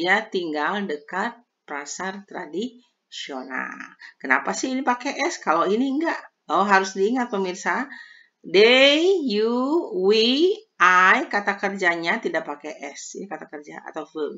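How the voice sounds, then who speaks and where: At a very slow pace, a woman speaks at medium pitch with very wide pitch swings. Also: big swings in loudness. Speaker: English teacher on video channel. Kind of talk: tutorial.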